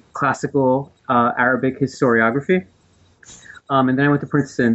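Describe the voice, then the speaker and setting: A man speaks with a New Jersey accent at medium pitch. His intonation stays fairly even. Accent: American, New Jersey. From US East Coast, New Jersey. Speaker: professor of religion, author. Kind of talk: interview about his book. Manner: hesitant, with frequent fillers.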